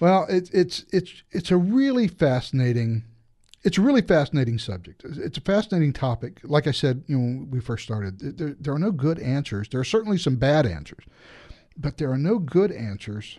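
A man speaks at a moderate pace in a dark, mellow tone. His fairly high pitch swings very widely. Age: 50s. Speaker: podcast co-host on technology. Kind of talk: casual chat.

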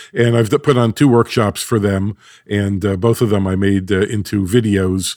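Using a normal speaking voice, a man speaks at a fairly low pitch and a moderate pace with fairly even intonation. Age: 60s. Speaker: acoustics company founder. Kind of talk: interview.

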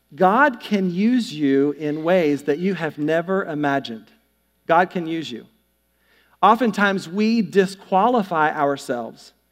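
A man with a Southern US accent, high-pitched, fairly slow, and with lively intonation. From US South, North Carolina. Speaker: pastor. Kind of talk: sermon. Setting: church. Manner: animated.

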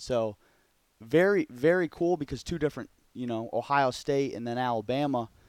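A man's fairly high voice with an Upper Midwest accent, at a moderate pace, on a very clean recording with a silent background. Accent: Upper Midwest American. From Michigan, Grand Haven. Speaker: college football quarterback coach. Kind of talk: casual interview chat.

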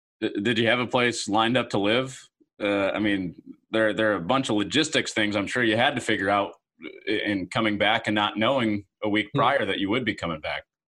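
A man talks at a fairly quick pace in a plain, everyday voice. His pitch is fairly low and his intonation fairly even. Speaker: podcast host. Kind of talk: casual interview.

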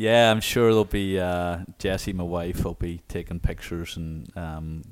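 A man with an Irish accent speaks in a very deep, low pitch with fairly even intonation. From Ireland. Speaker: college soccer coach. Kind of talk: interview. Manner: hesitant, many fillers.

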